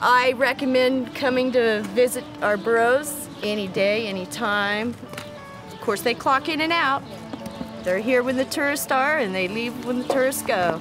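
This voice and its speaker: With clear music in the background, a woman speaks at a fairly slow pace in a high pitch with ordinary pitch variation. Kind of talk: interview answer. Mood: heartfelt, emotional. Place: open country.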